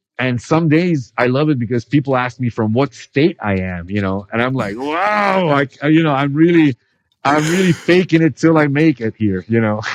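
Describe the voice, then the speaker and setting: Lively in intonation, a man with an American accent speaks at a moderate pace and a fairly high pitch. The sound is dry and close, with no echo. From Italy, Milan area, with early years at American schools in Taiwan. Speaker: professional drift driver and drifting instructor. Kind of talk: casual podcast interview.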